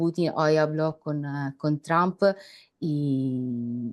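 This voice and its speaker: In an Italian accent, a woman speaks with a very deep, low pitch and ordinary pitch variation. She takes long, frequent pauses against a quiet background. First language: Italian (speaking Spanish). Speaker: journalist. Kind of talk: panel discussion. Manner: halting.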